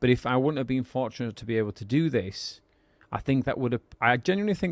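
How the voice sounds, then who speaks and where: A man with a northern English accent at a very fast pace. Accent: regional northern English. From northern England. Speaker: podcast co-host, business owner. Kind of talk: casual podcast chat.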